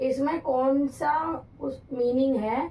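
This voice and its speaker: A woman speaks in a high pitch. Her tone is dark and mellow. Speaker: English teacher for exam prep. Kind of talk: tutorial.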